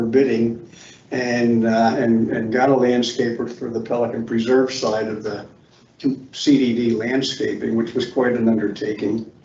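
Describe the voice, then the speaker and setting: Heard with audible room echo, a man of medium pitch talks at a moderate pace in a monotone, flat intonation. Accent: American. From Philadelphia, US. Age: 80s+. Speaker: committee applicant, retired engineer. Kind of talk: public meeting statement. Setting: meeting room with microphones.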